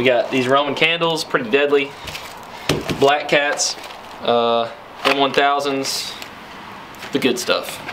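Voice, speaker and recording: Over noticeable background noise, a man speaks very slowly at a fairly high pitch. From Kentucky, US South. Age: 20s. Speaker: vlogger. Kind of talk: casual vlog. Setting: on location with handheld camera. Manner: animated.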